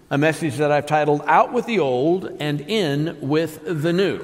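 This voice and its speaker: Over noticeable background noise, a man talks in a fairly high voice with ordinary pitch variation. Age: 60s. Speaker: pastor. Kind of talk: sermon. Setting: church. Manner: halting.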